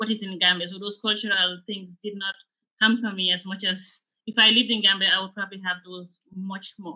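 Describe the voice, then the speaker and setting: A woman talks at a fairly quick pace, her intonation flat and monotone. Her loudness swings widely against a quiet background. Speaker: finance director panelist; panelist. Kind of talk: panel discussion. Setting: video call webinar. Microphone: video call.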